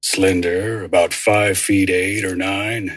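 A man performs in a put-on character voice. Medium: audio drama. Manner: laconic, casual.

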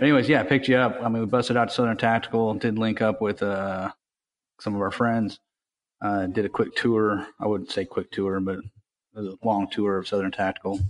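Against a quiet background, a man with a plain, everyday voice and fairly low pitch talks at a fairly quick pace with fairly even intonation. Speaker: podcast co-host. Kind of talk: casual chat.

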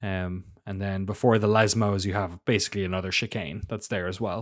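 This man has an Irish accent and a fairly low pitch, talking at a moderate pace. The recording is very clean against a silent background. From Ireland. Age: 30s. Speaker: F1 podcast co-host. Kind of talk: casual chat. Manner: animated, laughs often.

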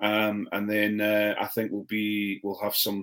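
A man with a fairly low pitch at a fairly slow pace. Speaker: podcast co-host. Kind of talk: casual chat. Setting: home, dog nearby.

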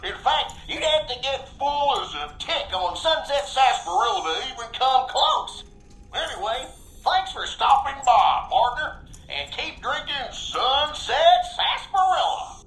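A put-on character voice, high and drawling, in a western US accent at a moderate pace. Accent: western cowboy drawl. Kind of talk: recorded mascot sales pitch. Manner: folksy drawling cowboy, cheery.

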